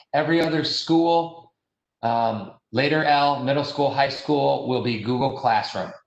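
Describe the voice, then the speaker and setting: A man speaks at a fairly slow pace with fairly high pitch. His pitch variation is ordinary, and audible room echo surrounds the voice. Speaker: school district administrator. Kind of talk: virtual town hall presentation. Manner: hesitant, many fillers.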